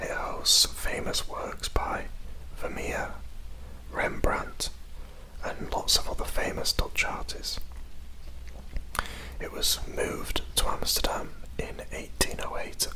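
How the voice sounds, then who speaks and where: Someone whispers at a very slow pace, with long, frequent pauses. Noticeable background noise is present. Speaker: ASMR creator. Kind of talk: ASMR guided tour. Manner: whispered.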